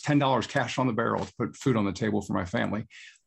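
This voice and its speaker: Vocal fry at a fairly quick pace, ordinary pitch variation, and a quiet background. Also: man. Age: 40s. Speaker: former university spokesman. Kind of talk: interview. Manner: halting.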